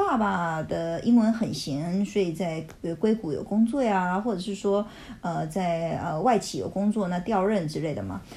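Speaking at a moderate pace and medium pitch, a woman has a plain, everyday voice with ordinary pitch variation. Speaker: educator. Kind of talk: casual chat.

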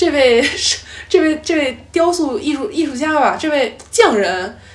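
Over noticeable background noise, a woman talks at a moderate pace in an animated tone. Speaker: podcast host, guest here. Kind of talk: casual chat. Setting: travel, recorded on the trip.

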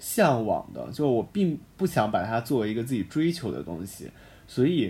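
The man has a dark, mellow tone at a medium pitch. His pitch swings very widely. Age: 20s. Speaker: university student podcast host. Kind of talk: casual chat. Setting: campus broadcast room.

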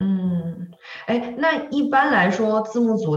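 A woman's very slow speech with very wide pitch swings. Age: 40s. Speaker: podcast co-host. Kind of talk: casual chat.

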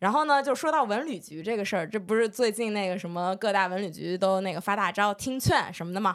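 A woman of medium pitch races along at a very fast pace with lively intonation in a very clean recording with a silent background. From northern Jiangsu, Lianyungang. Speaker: podcast co-host. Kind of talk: casual chat.

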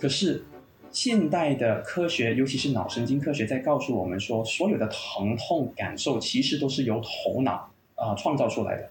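With music playing in the background, a man talks with a slight Malaysian accent. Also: moderate pace. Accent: slight Malaysian Chinese. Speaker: clinical pain psychologist and university lecturer. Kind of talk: podcast interview, explanatory.

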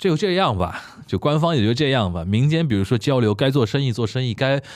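On a very clean recording with a silent background, a man talks at a very fast pace with very wide pitch swings. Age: 30s. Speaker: podcast host. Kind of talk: casual chat.

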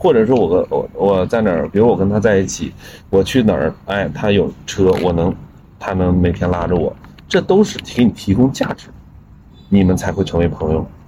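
At a moderate pace, a man uses a plain, everyday voice, pitched fairly low with ordinary pitch variation. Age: 40s. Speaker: blues musician and guitarist. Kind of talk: casual chat.

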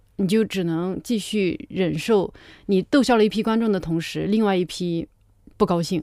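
A woman's dark, mellow voice at medium pitch and a moderate pace. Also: ordinary pitch variation. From rural China. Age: 30s. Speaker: stand-up comedian. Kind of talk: casual chat.

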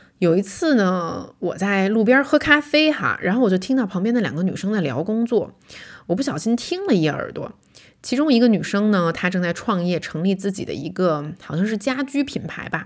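The voice swings very widely in pitch. The recording is very clean, with a silent background. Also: woman, medium pitch for a woman, moderate pace. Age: 30s. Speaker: podcast host and vlogger. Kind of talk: solo reflective monologue. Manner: casual, conversational with fillers.

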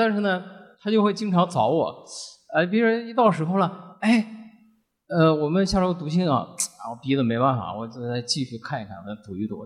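Pitch swings very widely in this man's voice. His speed stays moderate. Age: 50s. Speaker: company finance director and podcast listener. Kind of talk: personal sharing at live event.

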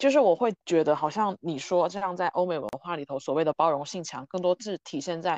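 Against a quiet background, the words come at a fairly quick pace with hardly any pauses. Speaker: podcast host. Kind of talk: casual chat.

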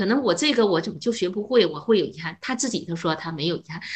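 A woman talks at a very fast pace with a medium pitch and very wide pitch swings. Her voice is somewhat breathy. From northern China. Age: 50s. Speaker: retired chemistry teacher. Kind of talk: casual chat.

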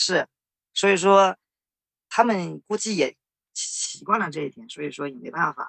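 The speech moves at a fairly slow pace. Long, frequent pauses break it up. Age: 30s. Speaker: engineer. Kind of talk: interview. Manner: hesitant.

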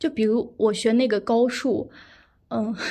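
This woman's voice has a high pitch and a dark, mellow tone, delivered at a moderate pace. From Xinjiang, Ili (Kazakh). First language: Kazakh (speaking Chinese). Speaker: medical student. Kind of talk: casual interview chat. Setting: online remote recording.

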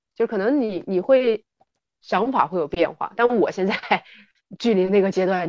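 Medium in pitch, this woman has an unremarkable speaking voice. Her pitch variation is ordinary. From Northeast China. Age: 30s. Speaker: fitness enthusiast. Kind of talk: casual chat. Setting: remote recording.

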